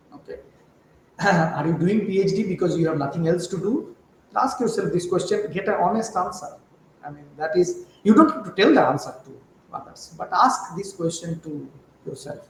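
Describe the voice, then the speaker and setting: With a Bengali accent, a high-voiced man speaks at a moderate pace with ordinary pitch variation and big swings in loudness, over noticeable background noise. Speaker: chemistry professor. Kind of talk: interview. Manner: hesitant, many fillers.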